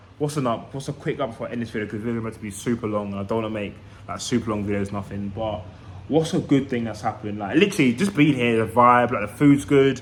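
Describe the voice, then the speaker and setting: A man speaks with a London accent. His delivery is very fast. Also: medium pitch for a man, ordinary pitch variation. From East London, England. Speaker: vlogger. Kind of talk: casual vlog monologue.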